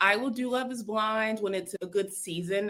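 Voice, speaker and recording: A fairly high-pitched woman at a moderate pace, with a slight Southern US accent. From US South, South Carolina. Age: 30s. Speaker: content creator. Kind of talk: casual chat.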